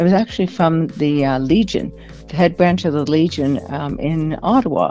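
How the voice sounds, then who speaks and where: Over music in the background, a woman with a Canadian accent talks at a moderate pace in a very deep, low pitch with ordinary pitch variation. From Canada. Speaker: military veteran and author. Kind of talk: radio interview. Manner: halting.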